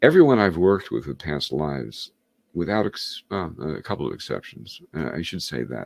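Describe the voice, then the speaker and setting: This man's voice is very deep and low, with vocal fry. He talks at a moderate pace with lively intonation. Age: 70s. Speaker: hypnotist and author. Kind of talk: interview. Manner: halting.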